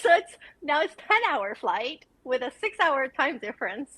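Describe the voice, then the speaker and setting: Her voice is raised and projected, a woman's high pitch with very wide pitch swings and a bright, sharp tone. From Venezuela. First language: Spanish. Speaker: content creator. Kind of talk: casual interview chat. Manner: lots of fillers, casual.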